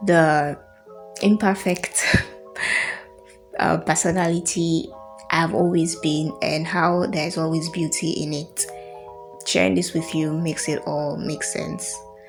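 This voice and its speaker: A woman talks at a fairly slow pace with long, frequent pauses while music plays in the background. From Sierra Leone. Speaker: podcaster. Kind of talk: casual talk introducing an old recording.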